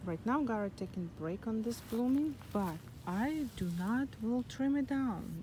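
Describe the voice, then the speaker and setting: Soft-spoken and somewhat breathy, a woman talks at a fairly slow pace in a fairly high pitch, with a dark, mellow tone and lively intonation. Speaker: gardening vlogger. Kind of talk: casual garden tour vlog. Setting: outdoors in front garden.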